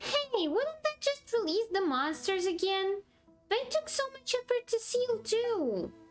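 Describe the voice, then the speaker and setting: Faint music plays behind a squeaky put-on character voice, extremely high in pitch and delivered at a fairly slow pace. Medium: game stream. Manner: chatty, cheeky.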